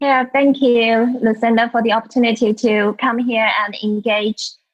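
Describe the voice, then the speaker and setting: A woman with a Chinese accent and a fairly high pitch speaks at a moderate pace in a flat monotone. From China. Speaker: culture and leadership consultant, author. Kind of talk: interview.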